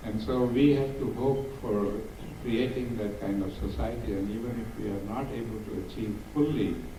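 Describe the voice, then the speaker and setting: Noticeable background noise behind a man's fairly low voice, moderate in pace, with ordinary pitch variation. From South Africa. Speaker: activist and diversity speaker. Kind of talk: Q&A answer to audience.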